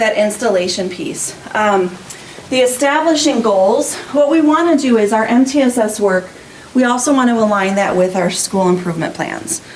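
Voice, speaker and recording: Noticeable background noise and audible room echo surround speech with lively intonation. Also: woman. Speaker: school principal. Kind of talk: presentation at a school board meeting. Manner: fast.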